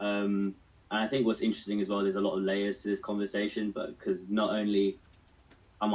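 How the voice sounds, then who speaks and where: A man with a British accent speaks at a fairly quick pace. His pitch is fairly low. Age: 20s. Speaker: mental health advocate. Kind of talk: radio panel discussion.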